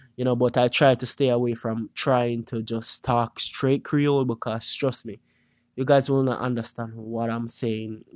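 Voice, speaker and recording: Monotone, flat delivery in a Jamaican accent, on a very clean recording with a silent background. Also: man, medium pitch for a man, moderate pace, dry, close sound with no echo. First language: Jamaican Patois. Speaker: YouTuber podcast host. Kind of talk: casual monologue podcast. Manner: casual, hesitant with filler words.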